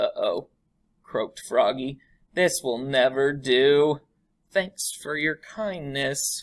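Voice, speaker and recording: A put-on character voice is used here. The delivery crawls along very slowly. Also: woman, very deep, low pitch for a woman. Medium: read story. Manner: clipped, breezy phrases.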